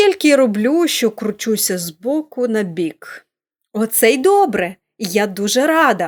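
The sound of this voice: An unforced reading voice carries lively intonation over a quiet background.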